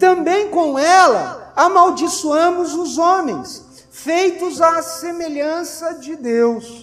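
Speaking very slowly with a Brazilian accent, a man uses an extremely high pitch over noticeable background noise. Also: ordinary pitch variation. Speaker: preacher. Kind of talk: sermon. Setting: church. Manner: earnest, admonishing; rhetorical questions, conversational teaching.

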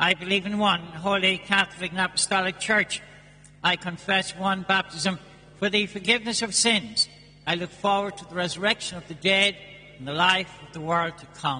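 Over noticeable background noise, a man with an Irish accent uses a raised, projected voice at a high pitch, his intonation fairly even but his loudness swinging widely. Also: moderate pace. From Ireland. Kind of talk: fervent intercessory prayer, solemn petitions. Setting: church.

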